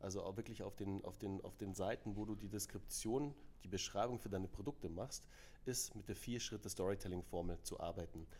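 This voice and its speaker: Talking at a fairly quick pace, a man with a fairly low voice has a dark, mellow tone and some vocal fry. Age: 40s. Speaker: storytelling consultant and co-founder. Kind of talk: interview. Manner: animated.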